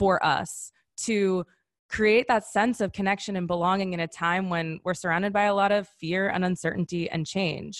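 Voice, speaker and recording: A plain, everyday voice with an American accent speaks at a moderate pace, sounding dry and close with no echo over a quiet background. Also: woman. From US Midwest, Wisconsin. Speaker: founder and wellness coach. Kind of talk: webinar presentation. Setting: online webinar.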